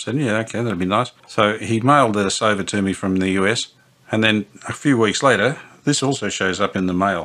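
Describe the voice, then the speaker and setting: At a very fast pace, a man talks in a fairly low pitch with ordinary pitch variation. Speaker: radio restorer. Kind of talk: casual workshop commentary. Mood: warm, grateful. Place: workshop.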